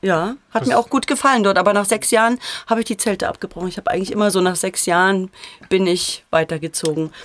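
Talking at a very fast pace, a woman uses a medium pitch with ordinary pitch variation. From Thuringia, Erfurt. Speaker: actress and voice actress. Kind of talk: casual chat. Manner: clear articulation.

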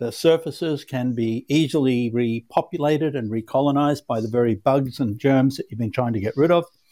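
In a very clean recording with a silent background, a man with an Australian accent speaks at a moderate pace, his fairly high pitch carrying a dark, mellow tone and lively intonation. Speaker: cleaning product manufacturer. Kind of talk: podcast interview.

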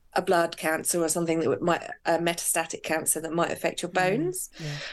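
A woman with an unremarkable speaking voice talks at a fairly low pitch. Her intonation is fairly even, and the background is quiet. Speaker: personal trainer. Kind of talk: casual interview chat.

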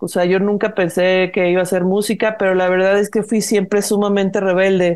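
At a moderate pace, a woman talks at a medium pitch in a plain, everyday voice. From Mexico, Guadalajara. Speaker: singer-songwriter and producer. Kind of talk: casual interview chat.

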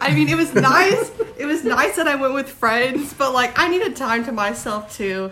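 A woman with a high pitch raises and projects her voice, her pitch swinging very widely. Noticeable background noise can be heard. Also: moderate pace. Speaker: podcast host. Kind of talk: casual chat. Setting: Airbnb in London.

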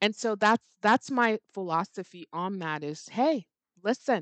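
Fairly high-pitched and animated, a woman swings very widely in pitch at a moderate pace. The background is quiet and the sound dry and close, with no echo. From Middle East, Nigerian family. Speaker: estate planning attorney. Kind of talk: interview conversation.

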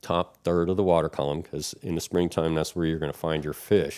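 A man with an American accent, very deep and low in pitch, at a fairly quick pace, on a very clean, silent recording with a dry, close sound and no echo. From Florida. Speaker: fishing guide and lure maker. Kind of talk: casual chat.

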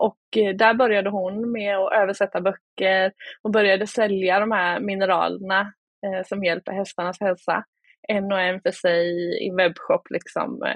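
Her voice sits at a medium pitch, and the woman speaks fairly slowly in a flat monotone. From Småland, Sweden (Oskarshamn). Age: 30s. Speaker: e-commerce entrepreneur. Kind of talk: interview.

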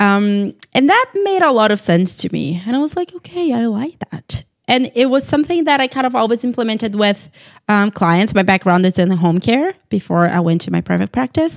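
A woman with a Brazilian accent speaks at a moderate pace, her fairly high pitch moving in very wide swings. The sound is dry and close with no echo. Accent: Brazilian Portuguese accent, noticeable. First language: Portuguese. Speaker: dietitian. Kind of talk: casual chat.

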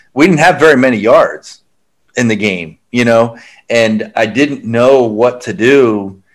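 This man has an unremarkable speaking voice with an American accent. His pitch is medium, with ordinary pitch variation. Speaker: podcast host. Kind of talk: casual chat.

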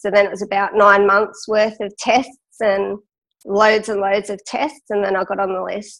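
In an Australian accent, a woman at medium pitch speaks at a moderate pace with monotone, flat intonation. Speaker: cystic fibrosis patient and lung transplant recipient, runner. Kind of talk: interview storytelling.

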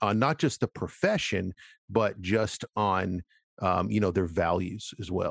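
A man with a normal speaking voice and an American accent talks fairly slowly at a fairly low pitch with ordinary pitch variation, in a dry, close recording with no echo and a quiet background. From Florida, US. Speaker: podcast host. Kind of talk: casual interview chat.

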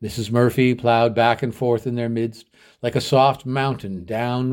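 Simple, plain reading aloud

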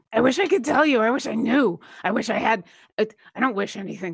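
Putting on a raspy character voice, a woman rattles along at a very fast pace with a fairly high pitch. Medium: actual play. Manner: hesitant, halting.

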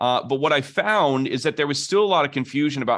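The speaker uses an energetic tone at a moderate pace against a quiet background. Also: man. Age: 40s. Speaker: pastor. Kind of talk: interview.

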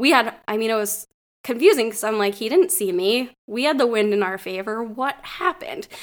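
A woman speaks in an ordinary speaking voice, fairly high in pitch. Her pace is moderate and her intonation lively. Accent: American. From northwestern Pennsylvania. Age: 30s. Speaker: deer hunter. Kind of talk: casual storytelling chat.

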